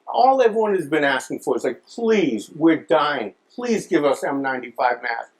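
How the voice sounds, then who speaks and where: A man's fairly high voice swings very widely in pitch as he talks at a moderate pace. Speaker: comedian. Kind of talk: stand-up comedy monologue. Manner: casual, hesitant.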